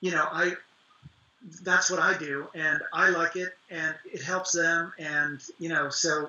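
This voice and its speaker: Against noticeable background noise, a man with an American accent speaks at a high pitch in a monotone, flat way. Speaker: actor and author. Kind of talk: interview.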